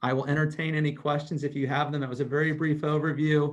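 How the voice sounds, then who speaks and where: The man's fairly high voice moves along at a fairly quick pace. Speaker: school district treasurer presenting budget. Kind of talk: budget presentation at board meeting. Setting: online video meeting, screen sharing. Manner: fast.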